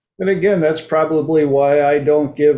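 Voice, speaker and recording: A man with an ordinary speaking voice talks fairly slowly at a fairly high pitch, his intonation fairly even. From United States. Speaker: talk show host. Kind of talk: casual chat. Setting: livestream.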